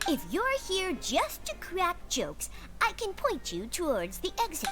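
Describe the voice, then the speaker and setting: Put-on character voice at a moderate pace, over loud background noise. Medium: game stream. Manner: brusque, official.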